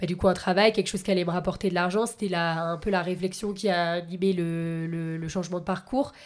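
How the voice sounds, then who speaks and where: A woman talks at a fairly quick pace in an ordinary speaking voice of medium pitch. The recording is very clean, with a silent background. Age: 20s. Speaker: podcast host. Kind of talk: interview.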